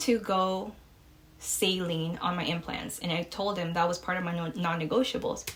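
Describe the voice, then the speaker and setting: A woman speaks at a fairly slow pace with a slight Mexican accent, her medium-pitched voice somewhat breathy. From Mexico. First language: Spanish. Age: 20s. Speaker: podcast host. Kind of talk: casual chat. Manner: casual, many fillers.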